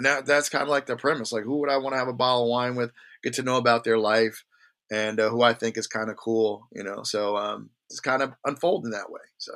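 Talking at a very fast pace with fairly even intonation, a man with a New Jersey accent comes through in a very clean recording with a silent background. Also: medium pitch for a man. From New Jersey, Jersey Shore (Long Branch). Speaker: wine podcaster and wine merchant. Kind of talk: casual chat.

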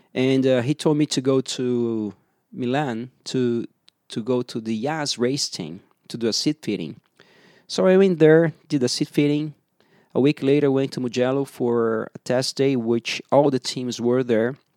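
In a Portuguese accent, the speaker talks at a fairly slow pace with a dark, mellow tone and ordinary pitch variation, the sound dry and close with no echo. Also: man, medium pitch for a man, very clean recording, silent background. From Brazil. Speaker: racing driver. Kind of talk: interview. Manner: halting, many fillers.

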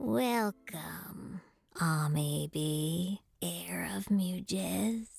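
A female-sounding voice puts on a character voice, very deep and low for a woman. The delivery is very slow. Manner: cool, condescending.

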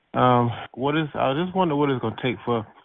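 A man keeps a moderate pace, his pitch varying in an ordinary way. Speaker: chat line caller. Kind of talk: phone chat line message. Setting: phone call. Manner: animated.

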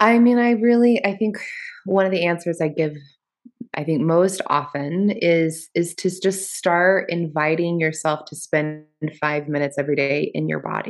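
At a moderate pace, a woman with an American accent talks with fairly low pitch and ordinary pitch variation. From Kansas area. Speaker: rolfer and author. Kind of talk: podcast interview. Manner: hesitant, many fillers.

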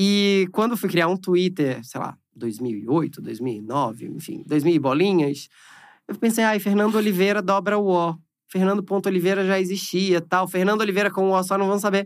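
A man speaks at a moderate pace in a high pitch with ordinary pitch variation, on a very clean recording with a silent background. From Brazil, Recife (Pernambuco). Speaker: entertainment journalist. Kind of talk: casual chat. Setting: studio.

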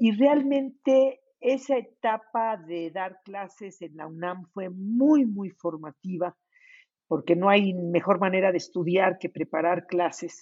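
A woman at medium pitch speaks at a very slow pace. Her intonation is lively, and her loudness swings widely. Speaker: retired diplomat and author. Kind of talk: interview.

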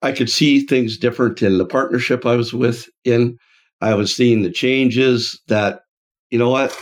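A man's plain, everyday voice at medium pitch, moderate pace, very even loudness and fairly even intonation, on a very clean recording with a silent background. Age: 60s. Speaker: franchise founder and podcast co-host. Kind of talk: casual chat. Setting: office.

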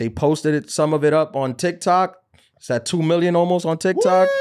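A man with an American accent speaks at a moderate pace with an unremarkable speaking voice. His pitch is fairly high, with ordinary pitch variation. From New York. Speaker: comedian and podcast host. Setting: studio.

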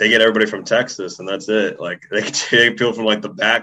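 A man speaks with an unremarkable speaking voice at a fairly low pitch. His pace is fairly quick. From US, Puerto Rican family. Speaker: writer and nutritionist. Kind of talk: casual chat.

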